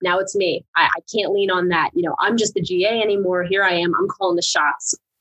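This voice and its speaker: A woman's voice, a normal speaking voice at a medium pitch, with ordinary pitch variation and a dry, close sound with no echo. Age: 20s. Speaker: university student conduct coordinator. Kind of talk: casual interview chat.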